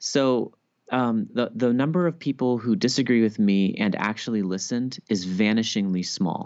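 A plain, everyday voice at a moderate pace. Loudness stays very even, with ordinary pitch variation. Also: man, medium pitch for a man. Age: 30s. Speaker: Bible scholar and author. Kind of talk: interview.

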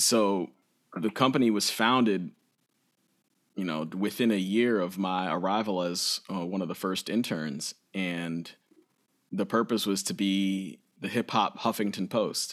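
A man's unremarkable speaking voice, fairly low in pitch and fairly slow, with ordinary pitch variation, on a very clean recording with a silent background. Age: 30s. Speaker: musician and educator. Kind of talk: casual chat.

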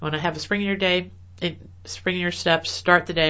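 A woman with an American accent. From US Midwest, rural Illinois. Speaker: dentist and online publisher. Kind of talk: interview.

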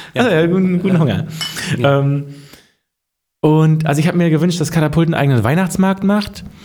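Against audible room echo, a man with a fairly high voice speaks at a fairly quick pace with long, frequent pauses, ordinary pitch variation and very even loudness. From Mecklenburg-Vorpommern, Germany. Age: 30s. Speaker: podcast co-host. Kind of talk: casual chat.

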